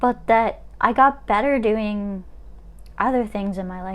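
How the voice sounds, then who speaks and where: A woman talks at a fairly slow pace with fairly even intonation. She has an unremarkable speaking voice at a medium pitch. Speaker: chronic illness vlogger. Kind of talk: casual livestream monologue. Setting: Instagram live stream.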